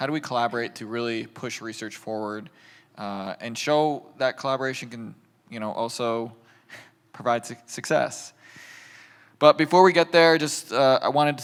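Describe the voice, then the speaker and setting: With an American accent and a normal speaking voice, a man talks at a moderate pace at a medium pitch. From US. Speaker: patient advocacy manager, panel moderator. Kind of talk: panel discussion.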